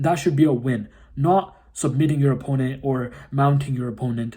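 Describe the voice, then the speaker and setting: This man's fairly high voice has a dark, mellow tone, a somewhat breathy quality and ordinary pitch variation. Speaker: jiu-jitsu content creator. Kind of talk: casual tutorial. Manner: fast.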